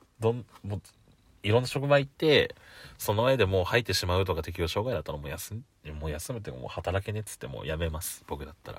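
A somewhat breathy man's voice, fairly low in pitch, at a very fast pace with very wide pitch swings and big swings in loudness. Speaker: podcaster. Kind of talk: casual solo talk. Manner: laughs often.

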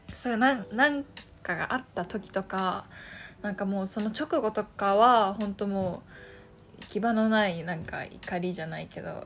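Ordinary pitch variation and a moderate pace mark this somewhat breathy voice. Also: woman, long, frequent pauses. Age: 20s. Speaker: podcaster. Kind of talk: casual solo talk. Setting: home room. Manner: halting.

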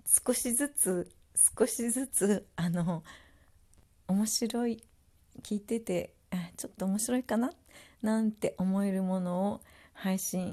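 A woman at medium pitch speaks at a fairly slow pace with a relaxed, dark, mellow tone, somewhat breathy and with lively intonation. The recording is very clean, with a silent background. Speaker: podcaster. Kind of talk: casual solo talk. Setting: at home. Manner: relaxed, many fillers.

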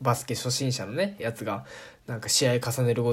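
The recording is very clean and the background silent. A man talks with a somewhat breathy quality. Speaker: podcast host. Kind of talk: casual solo talk. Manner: calm, relaxed; frequent laughter.

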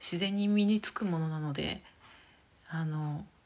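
Her voice somewhat breathy, a woman speaks at a fairly slow pace with lively intonation. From Saitama, Japan. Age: 30s. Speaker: podcaster. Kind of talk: casual solo talk.

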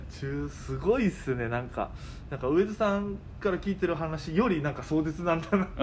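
A man with a normal speaking voice talks at a fairly quick pace, his fairly high pitch moving in lively intonation. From Okinawa. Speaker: comedian. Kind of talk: casual chat.

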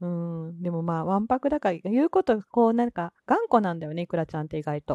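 A woman talks at a very fast pace in a fairly low pitch with lively intonation. Her tone is dark and mellow, and the sound is dry and close with no echo. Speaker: solo podcaster. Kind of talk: casual solo talk. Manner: relaxed, laid-back; frequent laughter.

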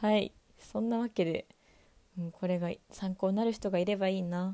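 Calm and unhurried at a moderate pace, a woman speaks at medium pitch with a dark, mellow tone in a dry, close sound with no echo. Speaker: podcaster, university student. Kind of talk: solo monologue.

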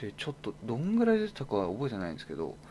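A man's voice with lively intonation. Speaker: pet media editor and podcast host. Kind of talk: solo talk monologue. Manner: hesitant, many fillers.

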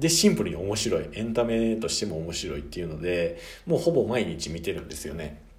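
Fairly low-pitched, this man talks at a fairly quick pace with very wide pitch swings. His loudness swings widely, and audible room echo surrounds him. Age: 20s. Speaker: podcast host. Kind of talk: solo talk book review. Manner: casual, with fillers.

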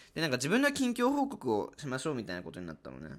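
A man talking at a very fast pace in a very clean recording with a silent background. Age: 20s. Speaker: university student. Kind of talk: casual solo monologue.

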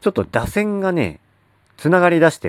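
The recording sounds dry and close, without any echo. The speaker is a man. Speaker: sports fan podcaster. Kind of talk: solo monologue. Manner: casual, many filler words.

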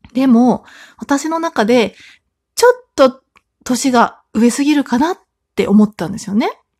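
High-pitched female voice at a fairly slow pace, dry and close with no echo. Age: 30s. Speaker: solo podcaster, mother of three. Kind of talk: casual solo talk. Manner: chatty, filler-heavy.

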